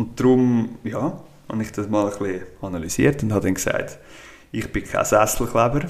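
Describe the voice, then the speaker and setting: This man has an ordinary speaking voice at a medium pitch. His pace is moderate, with ordinary pitch variation. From Switzerland, Schwyz (Brunnen). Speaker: cantonal politician. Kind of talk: casual interview.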